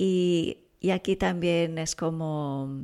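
Soft-spoken and in a Portuguese accent, the voice has lively intonation on a very clean recording with a silent background. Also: woman. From Brazil. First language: Portuguese (speaking Spanish). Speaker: parenting expert and author. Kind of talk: interview. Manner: calm, soft-spoken.

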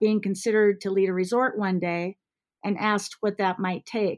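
The speaker has an American accent and a flat, monotone delivery. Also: woman. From US Midwest, Iowa. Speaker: ski resort executive. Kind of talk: interview.

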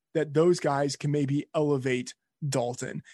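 A man with an American accent speaks in a plain, everyday voice, fairly high in pitch and at a fairly slow pace. The sound is dry and close with no echo, against a quiet background. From Texas. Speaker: fantasy sports editor. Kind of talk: casual interview.

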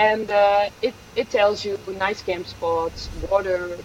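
Through noticeable background noise, a woman talks at medium pitch with a Dutch accent. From Netherlands. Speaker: hiker. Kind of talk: interview. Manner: hesitant, many fillers.

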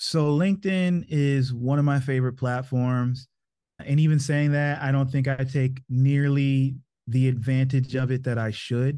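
Using a normal speaking voice, a man talks at a fairly slow pace with fairly even intonation. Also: medium pitch for a man, quiet background. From US, Maryland. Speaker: video marketing agency owner. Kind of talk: interview.

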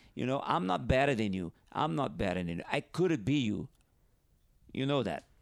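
A man with a Brazilian accent talks at a moderate pace and medium pitch. His pitch swings very widely. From northeast Brazil. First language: Portuguese. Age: 50s. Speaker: professional big wave surfer. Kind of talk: casual interview chat. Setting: at host's home over wine. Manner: halting, frequent repetitions.

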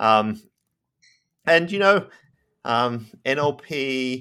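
A man with an Australian accent and a bright, sharp tone, in a very clean recording with a silent background. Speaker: professor. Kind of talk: interview.

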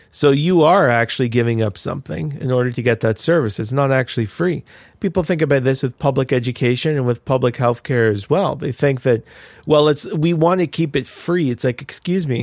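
Recorded very cleanly against a silent background, a man with a Canadian accent and an unremarkable speaking voice talks at a fairly quick pace in a medium pitch with ordinary pitch variation. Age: 30s. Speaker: pastor and podcast co-host. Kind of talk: casual chat.

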